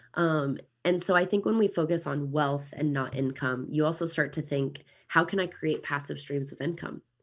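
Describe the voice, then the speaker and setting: At a moderate pace and with ordinary pitch variation, the speaker has a Midwestern accent, captured in a very clean recording with a silent background. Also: woman, very deep, low pitch for a woman. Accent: American Midwestern. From Kansas City, US Midwest. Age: 30s. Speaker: digital nomad and real estate investor. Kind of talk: casual interview chat.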